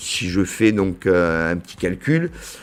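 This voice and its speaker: A man with a southern French accent, fairly low in pitch, lively in intonation, at a fairly slow pace. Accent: southern French accent, cultivated. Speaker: business association director. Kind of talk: podcast interview. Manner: hesitant, many fillers.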